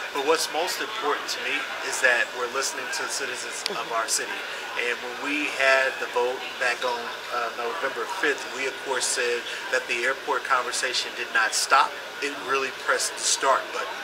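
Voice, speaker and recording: A man keeps a moderate pace as loud background noise plays behind him. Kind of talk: interview answer. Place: hall.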